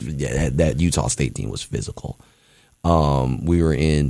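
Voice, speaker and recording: A man with a very deep, low voice speaks at a fairly slow pace, with ordinary pitch variation and long, frequent pauses. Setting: college radio studio.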